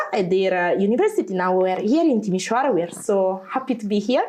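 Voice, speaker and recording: Speaking at a fairly quick pace, a woman with a strong Italian accent uses a medium pitch and ordinary pitch variation, with noticeable background noise behind her. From Italy. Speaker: veterinarian. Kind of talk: interview. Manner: chatty.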